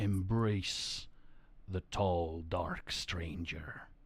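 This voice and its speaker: A very deep, low-pitched put-on character voice from a man. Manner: eerie, ominous.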